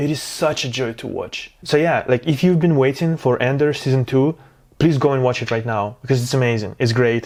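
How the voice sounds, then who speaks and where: With a non-native accent, a man talks at a fairly quick pace with ordinary pitch variation over noticeable background noise. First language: not English. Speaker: film review youtuber. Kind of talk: casual video review. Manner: halting, many fillers; enthusiastic.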